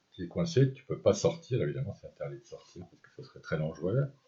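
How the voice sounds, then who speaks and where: This man's tone is dark and mellow, with vocal fry. He talks at a very fast pace. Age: 60s. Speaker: cancer patient sharing experience. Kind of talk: personal testimony. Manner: hesitant, with many fillers.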